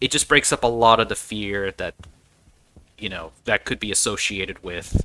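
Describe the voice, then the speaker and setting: A man with a relaxed tone speaks at a moderate pace and a fairly low pitch. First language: not English. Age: 40s. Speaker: gaming video creator. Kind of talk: casual gameplay commentary. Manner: relaxed, with frequent restarts and repeated words.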